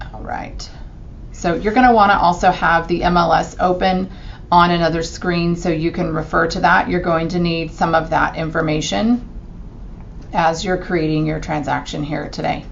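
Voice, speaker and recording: With audible room echo and noticeable background noise, a woman talks at a moderate pace in a fairly low pitch with ordinary pitch variation. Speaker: real estate agent. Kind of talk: screen-recorded tutorial. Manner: casual with fillers.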